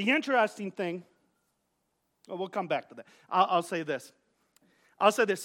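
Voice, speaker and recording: On a very clean recording with a silent background, a man speaks in a raised, projected voice with a bright, sharp tone and lively intonation. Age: 40s. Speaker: pastor. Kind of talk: sermon. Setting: church. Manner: halting, with frequent repetitions.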